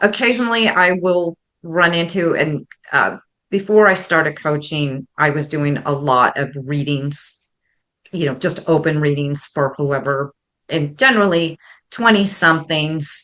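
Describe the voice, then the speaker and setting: At a fairly slow pace, a woman speaks in a very deep, low voice with a bright, sharp tone and ordinary pitch variation. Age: 60s. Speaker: intuitive coach and psychic medium. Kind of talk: interview.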